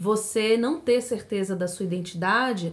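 Speaking at a moderate pace, a woman uses a plain, everyday voice with ordinary pitch variation. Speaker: podcast co-host. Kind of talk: casual chat.

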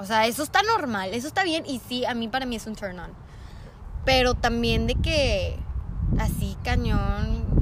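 Noticeable background noise and audible room echo behind a woman talking at a fairly slow pace. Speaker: podcast guest. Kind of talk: casual chat.

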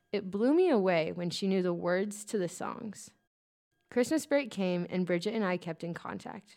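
Spoken at a moderate pace with an American accent, this very clean recording has a silent background. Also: woman. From rural Kansas, US. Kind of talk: testimony.

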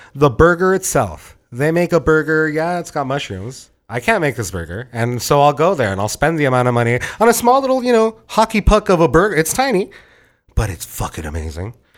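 Very wide pitch swings at a fairly quick pace, with an American accent. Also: man, fairly high pitch for a man. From Santa Ana, Southern California. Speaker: chef and pop-up owner. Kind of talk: casual chat.

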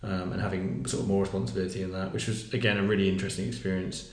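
A man's very deep, low voice with audible room echo. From southern England. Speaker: worship leader. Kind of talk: casual chat.

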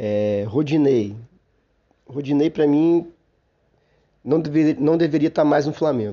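Pausing long and often, a man talks at a fairly slow pace and fairly high pitch, with ordinary pitch variation and very even loudness. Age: 40s. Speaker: football podcast host. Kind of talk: solo sports commentary podcast. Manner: hesitant, frequent fillers.

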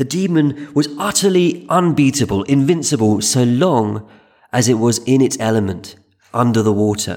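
A man with a normal speaking voice talks at a moderate pace and medium pitch, with lively intonation and very even loudness. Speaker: podcast host and history narrator. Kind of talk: scripted history documentary narration, storytelling. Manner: measured, wry, dryly humorous; calm, steady, explanatory.

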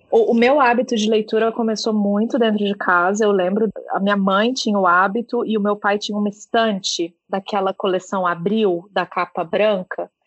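In a plain, everyday voice, a woman at medium pitch speaks at a moderate pace with hardly any pauses and fairly even intonation. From Brazil, Minas Gerais. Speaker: book podcast co-host. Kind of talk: casual interview chat.

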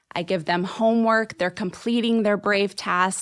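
The recording is very clean, with a silent background. A woman in a normal speaking voice talks at a fairly slow pace with a medium pitch and fairly even intonation. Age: 40s. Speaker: life coach. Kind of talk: interview.

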